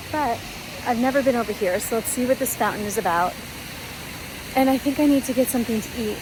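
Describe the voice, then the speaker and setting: Noticeable background noise runs under a woman's speech. She talks at a fairly quick pace with ordinary pitch variation. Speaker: flight attendant vlogger. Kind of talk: travel vlog. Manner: animated.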